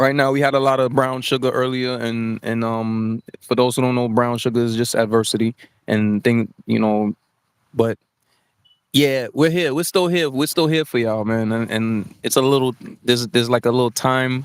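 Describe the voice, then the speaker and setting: Dry and close with no echo, a man with an American accent speaks at a moderate pace and medium pitch with fairly even intonation. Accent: New York accent, balanced when speaking. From New York. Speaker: talk show host. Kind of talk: casual live-stream chat. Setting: live stream with chat. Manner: casual, repetitive with filler words.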